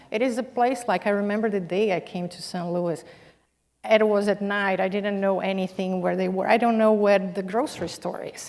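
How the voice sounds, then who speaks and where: A woman's medium-pitched voice at a moderate pace, with fairly even intonation. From Brazil. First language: Portuguese. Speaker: corporate executive, panelist. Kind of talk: panel discussion. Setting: stage with audience.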